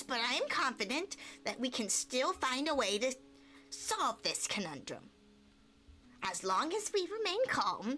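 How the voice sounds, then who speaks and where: Over music in the background, a woman speaks at a moderate pace with long, frequent pauses. Her put-on character voice is high-pitched, with very wide pitch swings. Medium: game stream. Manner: confident, breezy.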